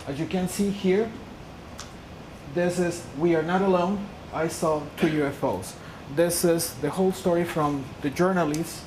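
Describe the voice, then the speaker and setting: Amid noticeable background noise and audible room echo, a woman with a fairly low pitch speaks at a moderate pace with ordinary pitch variation and long, frequent pauses. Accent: Peruvian. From Peru. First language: Spanish. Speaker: lecturer on UFO phenomena. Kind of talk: lecture.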